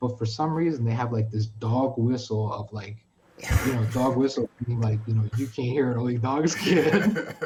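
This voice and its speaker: In a New York accent, this man keeps his delivery at a medium speed. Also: medium pitch for a man, ordinary pitch variation. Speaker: streamer. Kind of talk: casual chat. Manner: animated.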